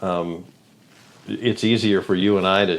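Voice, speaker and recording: Speaking at a fairly slow pace, a man uses a very deep, low pitch. His intonation stays fairly even. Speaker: radio host. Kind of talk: casual chat. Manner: loud.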